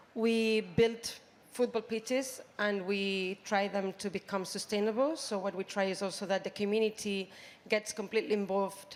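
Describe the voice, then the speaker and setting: This woman has a Spanish accent. She speaks at a moderate pace. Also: medium pitch for a woman, fairly even intonation. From Spain, Barcelona. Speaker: youth sports program representative. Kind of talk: panel interview. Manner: hesitant, many fillers.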